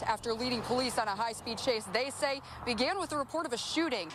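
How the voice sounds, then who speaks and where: A woman's high-pitched voice with an American accent, over noticeable background noise. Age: 20s. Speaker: TV news reporter. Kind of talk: TV news field report.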